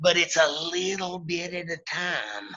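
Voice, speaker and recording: A man speaks in a high pitch with a Southern Appalachian accent. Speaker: former freemason. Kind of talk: podcast interview. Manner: halting.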